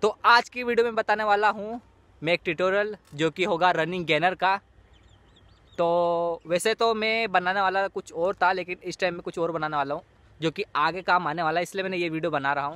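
In a dry, close recording with no echo and a quiet background, a man with a high pitch and a bright, sharp tone speaks at a moderate pace with ordinary pitch variation. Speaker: parkour athlete. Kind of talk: casual tutorial explanation to camera. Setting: recorded without external microphone.

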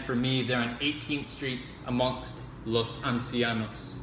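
Set against light background noise and audible room echo, a man talks at a moderate pace in a medium pitch with monotone, flat intonation. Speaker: poetry reader. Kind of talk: dramatic poetry reading. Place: home room. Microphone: phone near.

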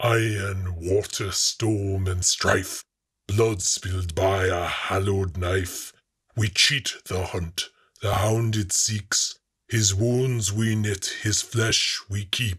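In a put-on character voice, a man talks at a very slow pace with a fairly low pitch on a very clean recording with a silent background. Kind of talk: solemn incantation. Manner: calm, grave, unhurried.

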